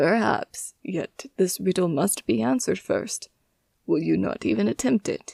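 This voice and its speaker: A put-on character voice at middle pitch. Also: moderate pace. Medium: read story. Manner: gentle, formal, coaxing.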